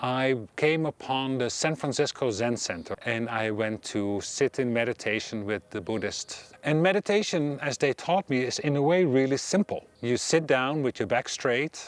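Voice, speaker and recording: With a Dutch accent, a man of medium pitch talks at a moderate pace with hardly any pauses and lively intonation, the sound dry and close with no echo but with noticeable background noise. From Netherlands. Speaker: meditation teacher. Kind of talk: personal talk to camera.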